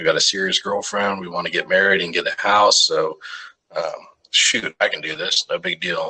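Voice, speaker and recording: The speaker has a Texan accent. The pace is moderate. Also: man. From Texas, Arlington. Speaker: firefighter paramedic. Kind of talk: casual interview storytelling. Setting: podcast.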